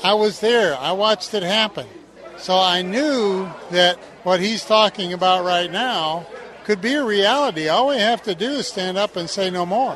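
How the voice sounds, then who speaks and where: Over crowd noise in the background, a man talks at a moderate pace in a high pitch with ordinary pitch variation. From Mississippi. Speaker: retired steelworker. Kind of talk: street interview.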